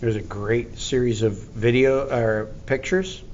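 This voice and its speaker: A man's medium-pitched voice at a fairly slow pace, fairly even intonation and audible room echo. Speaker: teacher. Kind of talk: lecture.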